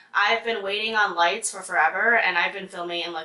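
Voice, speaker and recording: A woman with a medium pitch and ordinary pitch variation talks while noticeable background noise is heard. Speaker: beauty vlogger. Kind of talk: product review vlog. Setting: home basement filming room. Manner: casual, filler-heavy.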